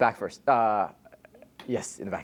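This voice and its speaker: This man talks at a medium pitch. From Israel. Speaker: tech founder and CEO. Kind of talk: talk with audience Q&A.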